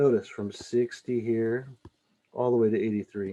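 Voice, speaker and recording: Here a man speaks at a fairly slow pace. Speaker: math teacher. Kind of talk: tutorial. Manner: halting.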